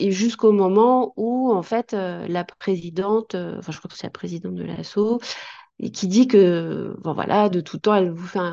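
This woman has a dark, mellow tone and ordinary pitch variation, recorded against a quiet background. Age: 50s. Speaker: mother of a transitioning daughter. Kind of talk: testimony.

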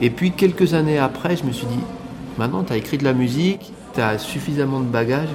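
Lively intonation marks this man's medium-pitched voice at a moderate pace. Noticeable background noise is present. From France, Lyon area. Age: 50s. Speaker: clarinettist and music teacher. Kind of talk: interview. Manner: hesitant, many fillers.

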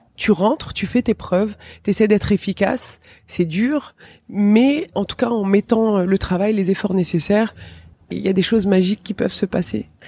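A woman speaks at a moderate pace and medium pitch, with ordinary pitch variation. Her dark, mellow voice is somewhat breathy, and the sound is dry and close with no echo. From Tunisia. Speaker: stand-up comedian. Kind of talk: interview.

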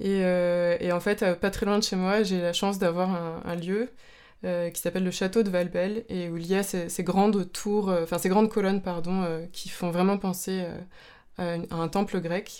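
A woman with a medium pitch talks at a fairly slow pace in a monotone, flat way. The recording is very clean, and the background is silent. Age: 30s. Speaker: dance teacher and composer. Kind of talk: interview. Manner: hesitant, many fillers.

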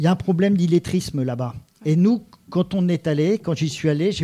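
Fairly quick in pace, a man speaks with pitch that varies in an ordinary way. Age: 50s. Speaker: photographer and newspaper reporter. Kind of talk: interview. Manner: halting, with many repetitions.

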